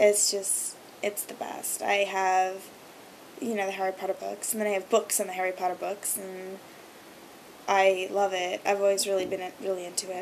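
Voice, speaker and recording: Noticeable background noise sits behind a woman's voice. She talks at a moderate pace with a medium pitch. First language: Hebrew. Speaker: video blogger. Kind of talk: casual vlog monologue. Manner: many filler ums.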